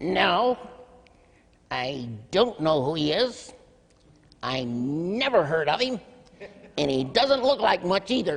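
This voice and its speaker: A loud, put-on character voice at a middle pitch, fairly slow, with very wide pitch swings and long, frequent pauses. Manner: loud, speaking in his best voice.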